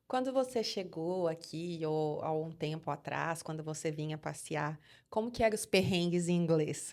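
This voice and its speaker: In a very clean recording with a silent background, a woman with a strong Minas Gerais accent talks at a moderate pace, her fairly low voice showing ordinary pitch variation. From Brazil, Minas Gerais. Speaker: podcast host. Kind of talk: podcast interview.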